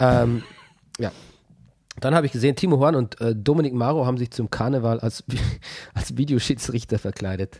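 A man speaks at a fairly quick pace with a medium pitch, a dark, mellow tone, ordinary pitch variation, and long, frequent pauses. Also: dry, close sound with no echo. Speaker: football podcast host. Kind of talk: casual chat.

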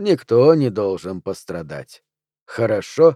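This put-on character voice has a dark, mellow tone, big pitch swings and a slow pace, with a dry, close sound and no echo. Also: man, fairly low pitch for a man.

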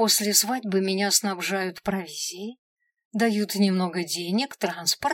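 An unforced reading voice carries fairly even intonation. Behind it, the background stays quiet.

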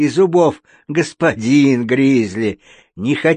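Behind the voice, the background stays quiet. The reading voice is unforced.

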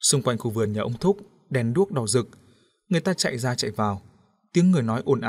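The speaker reads in a natural reading voice with lively intonation. The background is quiet.

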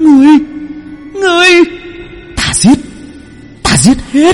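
A put-on character voice, high-pitched, with clear background noise. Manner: hissing, furious.

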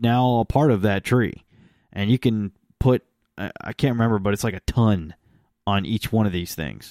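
A man with a dark, mellow tone and medium pitch speaks at a moderate pace with long, frequent pauses, the sound dry and close with no echo on a very clean recording with a silent background. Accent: American. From Texas, partly. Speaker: podcast host on tools. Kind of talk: casual chat.

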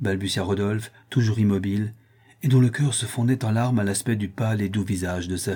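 Natural voice, reading aloud

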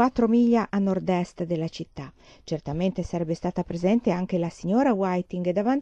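An unforced reading voice, ordinary in its pitch variation

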